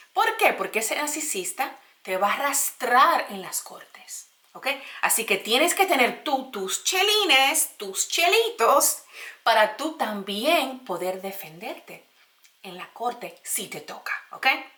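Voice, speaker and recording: Speaking in a raised, projected voice at a very slow pace, a woman with a high pitch shows very wide pitch swings and big swings in loudness. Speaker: YouTuber sharing personal experience. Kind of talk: casual vlog advice talk.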